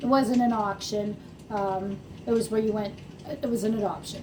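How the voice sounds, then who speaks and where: A woman speaks with fairly even intonation as clear background noise plays. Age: 60s. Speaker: horse farm owner. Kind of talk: casual talk to camera.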